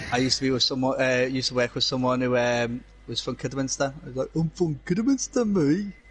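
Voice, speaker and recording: Speaking very fast with hardly any pauses, a man with a Scouse accent uses a medium pitch and ordinary pitch variation. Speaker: sim racing co-commentator. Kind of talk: live commentary.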